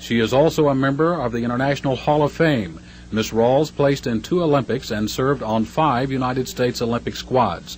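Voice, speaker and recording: A man speaks fairly quickly, with hardly any pauses. He has a plain, everyday voice, medium pitch and ordinary pitch variation. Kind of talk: newsreel narration. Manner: brisk, formal, upbeat announcer delivery; polished mid-century newsreel cadence.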